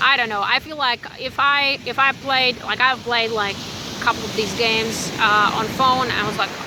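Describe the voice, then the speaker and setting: Over noticeable background noise, a speaker with a non-native accent talks at a fairly slow pace. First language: not English. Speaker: spiritual YouTuber. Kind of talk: casual vlog monologue. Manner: halting, many fillers.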